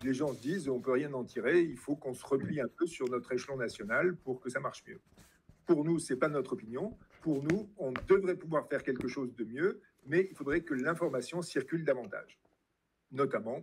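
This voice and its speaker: A man with an unremarkable speaking voice and a fairly high pitch speaks at a moderate pace with lively intonation. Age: 60s. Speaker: retired biology teacher and party president. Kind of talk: interview. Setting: live-streamed event with audience.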